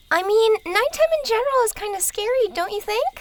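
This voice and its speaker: Putting on a squeaky character voice at an extremely high pitch, a woman talks at a fairly quick pace with lively intonation. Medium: audio drama.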